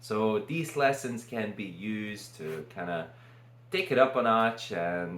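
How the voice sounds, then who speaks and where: Audible room echo surrounds a man speaking at a very slow pace in a fairly low pitch. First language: Lithuanian. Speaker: vlogger. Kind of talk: casual unscripted monologue. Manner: halting.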